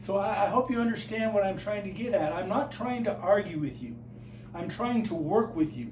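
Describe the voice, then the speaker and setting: A high-pitched man speaks fairly quickly with lively intonation. The room echo is audible and the background noise is noticeable. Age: 60s. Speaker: flat earth video maker. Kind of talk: direct-to-camera monologue. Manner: halting.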